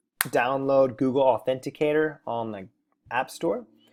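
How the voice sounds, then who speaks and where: A man speaks in an ordinary speaking voice at medium pitch. His pace is moderate and his intonation fairly even. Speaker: crypto YouTuber. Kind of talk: tutorial. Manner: casual, filler-heavy.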